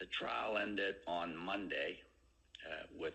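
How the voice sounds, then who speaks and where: A man's voice with audible room echo. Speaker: company chief executive. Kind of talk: earnings call presentation. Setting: conference call. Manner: loud, effortful.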